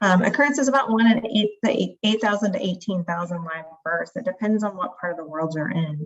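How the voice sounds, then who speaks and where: This woman talks at a fairly quick pace with hardly any pauses. Her voice sits at medium pitch, with lively intonation. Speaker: pediatric liver doctor. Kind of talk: lecture. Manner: fast.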